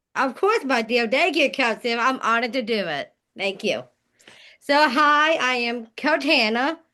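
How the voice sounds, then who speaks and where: A woman with a high pitch projects a raised voice with a bright, sharp tone. She keeps a moderate pace and ordinary pitch variation against a quiet background. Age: 20s. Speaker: podcast guest, fitness coach with Down syndrome. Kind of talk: self-introduction on a podcast.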